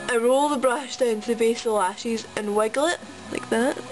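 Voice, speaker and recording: A woman talks fairly quickly, with noticeable background noise behind her. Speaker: make-up tutorial vlogger. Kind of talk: casual tutorial talk to camera.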